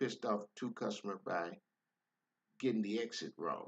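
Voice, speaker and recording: Dry and close with no echo, a man's medium-pitched voice moves at a moderate pace. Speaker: rideshare driver. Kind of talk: casual monologue. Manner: calm, nice tone; halting, repeats words.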